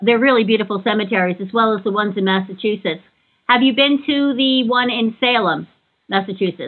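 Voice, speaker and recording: A woman speaks with an American accent at a fairly quick pace. She has an ordinary speaking voice, fairly high in pitch, with ordinary pitch variation. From New York. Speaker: podcast host. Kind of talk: interview.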